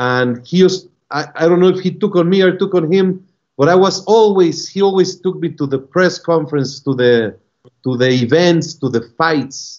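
Over a quiet background, the voice has ordinary pitch variation. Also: man. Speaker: remote guest. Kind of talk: interview answer. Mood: warm, nostalgic. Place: office. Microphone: video call.

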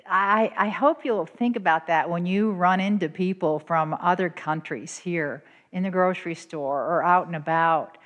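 Against a quiet background, a woman with a fairly low voice speaks at a moderate pace with ordinary pitch variation and hardly any pauses. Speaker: retired elementary teacher. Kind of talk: church missions presentation. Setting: church. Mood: warm, earnest storytelling. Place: church. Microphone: handheld.

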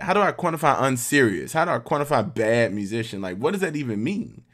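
Against a quiet background, a man with an American accent and vocal fry talks at a moderate pace with very wide pitch swings. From US South. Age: 30s. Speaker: orchestral oboist; guest. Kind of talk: workshop talk. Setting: video call. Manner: casual. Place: home room.

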